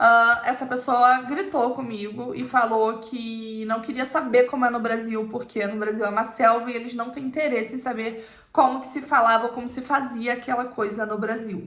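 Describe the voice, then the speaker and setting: A woman with a Brazilian accent speaks at a moderate pace, with a fairly high pitch and fairly even intonation. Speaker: YouTuber. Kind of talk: personal storytelling to camera.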